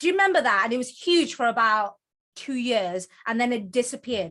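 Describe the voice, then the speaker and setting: In a Geordie accent, a high-pitched woman talks at a very fast pace with very wide pitch swings over a quiet background. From northern England, Newcastle (Geordie). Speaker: author and book coach. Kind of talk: presentation to online group.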